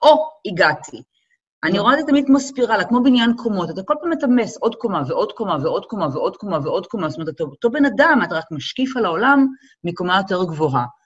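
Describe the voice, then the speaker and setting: The delivery is very fast, with vocal fry. Pitch swings very widely. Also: woman. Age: 40s. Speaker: model and event producer. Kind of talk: casual chat.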